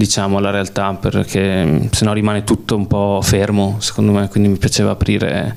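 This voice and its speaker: A man with fairly even intonation and a fairly low pitch talks fairly quickly while noticeable background noise carries on. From Veneto, Belluno area (Sedico). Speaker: film director. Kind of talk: public Q&A talk. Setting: cinema with audience.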